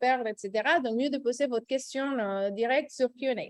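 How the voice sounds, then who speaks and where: A woman speaks at a high pitch with a slight Costa Rican accent. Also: dry, close sound with no echo. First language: Spanish (speaking French). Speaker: recruitment director, webinar host. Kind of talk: webinar presentation. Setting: Zoom webinar. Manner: hesitant, many fillers.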